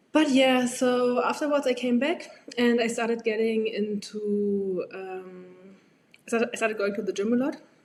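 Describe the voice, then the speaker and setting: A woman with a German accent and a fairly high pitch speaks at a moderate pace with ordinary pitch variation. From Germany. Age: 20s. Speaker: medical graduate. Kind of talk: podcast interview.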